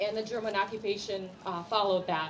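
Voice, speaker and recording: In a room with audible echo, a woman speaks at a fairly quick pace and fairly high pitch. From Ukraine, Kyiv. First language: Russian. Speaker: community representative. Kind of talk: speech. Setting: community prayer event with audience.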